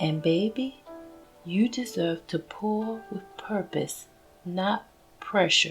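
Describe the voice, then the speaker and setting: A medium-pitched woman in a Southern US accent with ordinary pitch variation, at a very slow pace with long, frequent pauses, and music in the background. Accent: Southern American. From Southern United States. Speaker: faith podcast host. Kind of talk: inspirational podcast monologue.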